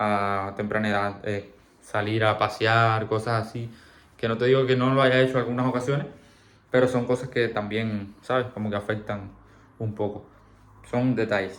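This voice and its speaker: This man speaks in a Cuban accent at medium pitch and a moderate pace, his intonation monotone and flat, with long, frequent pauses and audible room echo. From Cuba, Camagüey. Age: 20s. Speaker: vlogger. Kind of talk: personal storytelling. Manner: halting.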